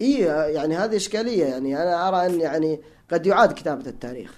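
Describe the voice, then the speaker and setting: The man's high voice swings very widely in pitch as he talks fairly quickly. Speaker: electrical engineer and language enthusiast. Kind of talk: casual interview conversation. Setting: studio.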